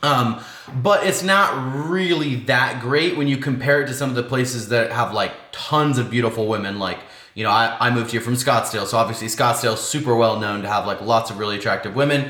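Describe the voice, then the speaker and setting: Over noticeable background noise and audible room echo, a man with an American accent talks fairly quickly at a medium pitch with ordinary pitch variation. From Washington State. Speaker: lifestyle vlogger. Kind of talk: casual vlog monologue. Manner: fast; casual, filler-heavy.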